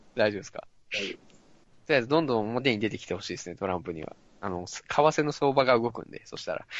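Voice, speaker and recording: A man at a very fast pace with big swings in loudness. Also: medium pitch for a man, lively intonation. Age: 30s. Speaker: voice training adviser. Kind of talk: casual chat.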